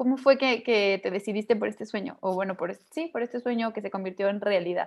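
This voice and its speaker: At a medium pitch with ordinary pitch variation, a woman speaks with a Mexican accent. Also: fairly quick pace. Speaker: podcast host. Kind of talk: interview.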